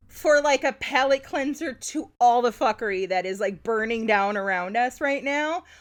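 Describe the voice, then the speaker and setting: A high-pitched woman with an American accent speaks with lively intonation at a moderate pace. The background is quiet. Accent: slight Midwestern, rarely slips out. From Wisconsin, Milwaukee suburbs. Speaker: podcast co-host. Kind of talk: casual chat.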